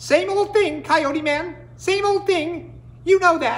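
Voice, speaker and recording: A squeaky, put-on character voice at an extremely high pitch delivers its lines at a fairly slow pace. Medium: read story.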